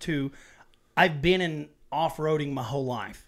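A man's unremarkable speaking voice at a fairly high pitch, with fairly even intonation at a moderate pace. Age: 40s. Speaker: podcast host, Army National Guard veteran. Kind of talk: casual chat. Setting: small home studio room.

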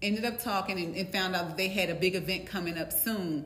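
Recorded with audible room echo, a woman talks at a moderate pace with ordinary pitch variation. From US East Coast. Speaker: co-host. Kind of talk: casual chat.

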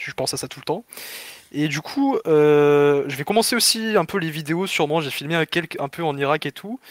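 In an ordinary speaking voice, a man talks at a fairly high pitch with ordinary pitch variation, the sound dry and close with no echo. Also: moderate pace. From southern France, Perpignan. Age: 20s. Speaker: caller telling travel story. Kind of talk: casual storytelling.

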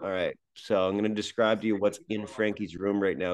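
Against a quiet background, a man with a fairly low pitch talks at a moderate pace. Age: 30s. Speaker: stand-up comedian and actor. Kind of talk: casual chat. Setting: video call. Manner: animated.

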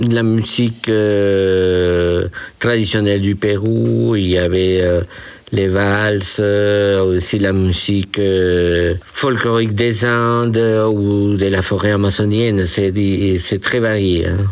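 A man with a Spanish accent and a fairly low pitch speaks at a very slow pace with fairly even intonation and very even loudness, against noticeable background noise. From Peru. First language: Spanish (speaking French). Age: 60s. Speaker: retired musician and accountant. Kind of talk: casual interview. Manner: halting.

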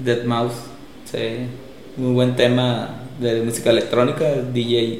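In a Mexican accent, a man speaks very slowly at medium pitch with monotone, flat intonation and long, frequent pauses. Noticeable background noise and audible room echo fill the recording. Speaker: DJ. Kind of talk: casual chat.

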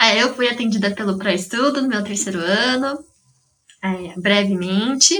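Talking at a fairly slow pace, a woman uses a fairly high pitch and lively intonation, with long, frequent pauses. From São Carlos, Brazil. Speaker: psychology graduate, study-support volunteer. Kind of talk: casual interview chat.

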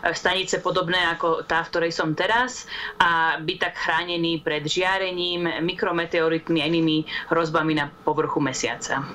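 Over noticeable background noise, a woman with a fairly low pitch talks at a moderate pace. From Slovakia. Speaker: astrobiologist. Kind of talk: interview.

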